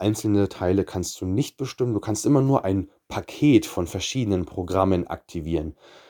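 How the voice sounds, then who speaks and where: A man's very deep, low voice with a dark, mellow tone, in a dry, close sound with no echo. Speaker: personal trainer and nutrition coach podcast host. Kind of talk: solo podcast monologue.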